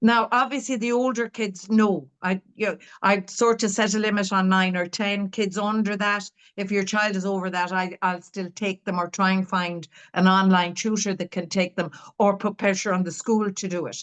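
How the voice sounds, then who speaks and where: A woman with an Irish accent, medium-pitched, at a moderate pace against a quiet background. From Ireland. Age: 60s. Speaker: dyslexia tutor and curriculum author. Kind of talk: interview. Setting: podcast interview. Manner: halting.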